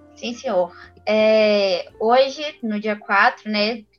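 Fairly even intonation from a woman, her pitch fairly high. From Belo Horizonte, Brazil. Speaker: investment advisor. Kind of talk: casual chat.

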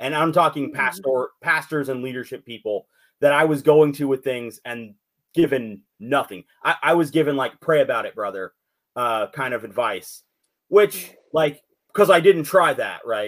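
An unremarkable speaking voice from a man, fairly high in pitch, with ordinary pitch variation, a moderate pace and a very clean recording with a silent background. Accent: American. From US Southwest and Northern California. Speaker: artist, former church member. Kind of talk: testimony.

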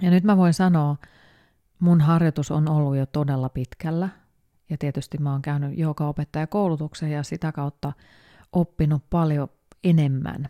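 A woman speaks in a relaxed tone at a moderate pace. Her pitch is very deep and low. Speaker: yoga teacher and podcast host. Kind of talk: casual morning monologue. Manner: relaxed, with fillers and laughter.

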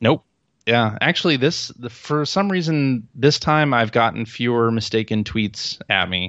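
A man with a normal speaking voice talks in an American accent at medium pitch. His pace is fairly slow and his intonation lively. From Chicago, US Midwest. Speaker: video game podcaster and former magazine writer. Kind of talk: casual chat. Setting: remote call.

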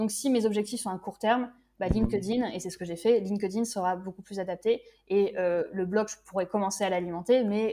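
The woman's voice sits at a medium pitch with fairly even intonation. She talks at a fairly quick pace. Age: 20s. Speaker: freelance web writer. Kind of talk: casual interview. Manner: hesitant, many filler sounds.

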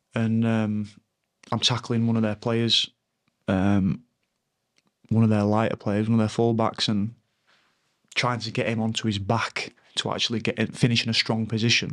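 In a Yorkshire accent, a man talks at a medium pitch and a moderate pace, flat and monotone, with long, frequent pauses against a quiet background. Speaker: former professional rugby player. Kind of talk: casual chat. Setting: in person at host's home. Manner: halting.

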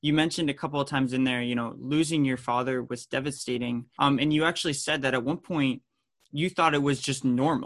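This is an ordinary speaking voice. The intonation is fairly even against a quiet background. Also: man, fairly high pitch for a man, fairly quick pace. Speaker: podcast host. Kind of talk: interview conversation.

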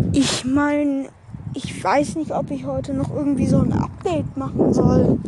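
A fairly slow pace with noticeable background noise behind it. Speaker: podcast host. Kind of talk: casual solo podcast. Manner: rambling, hesitant.

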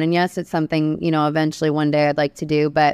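A woman with a Californian accent and a fairly low pitch is heard on a very clean recording with a silent background. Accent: General American (Californian). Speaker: realtor. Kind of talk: casual interview chat.

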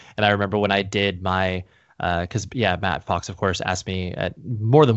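At a moderate pace, a man with a normal speaking voice talks at a fairly low pitch with fairly even intonation. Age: 30s. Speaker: hardcore band vocalist and podcaster. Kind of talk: casual chat. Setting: video call.

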